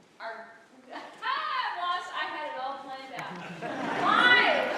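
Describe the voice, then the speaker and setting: Over noticeable background noise and audible room echo, a woman projects her high-pitched voice in a raised tone at a very slow pace. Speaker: musical director and writer. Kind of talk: speech to live audience. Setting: stage with audience. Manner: loud. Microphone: no microphone.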